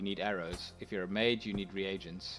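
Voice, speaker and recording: Music playing behind a man speaking at a moderate pace. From South Africa. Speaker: video game streamer. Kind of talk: live gameplay commentary. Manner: soft-spoken; mumbling.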